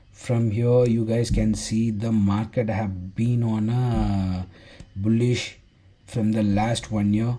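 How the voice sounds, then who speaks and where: The man's voice is somewhat breathy, fairly low, and dark and mellow in tone. His intonation is monotone and flat, with audible room echo. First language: Tamil. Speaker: forex trading teacher. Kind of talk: tutorial. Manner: halting.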